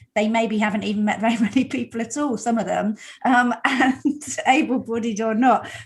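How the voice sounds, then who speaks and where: A woman speaks at a fairly high pitch, somewhat breathy. Her intonation stays fairly even. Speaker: podcast host. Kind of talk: interview. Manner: fast.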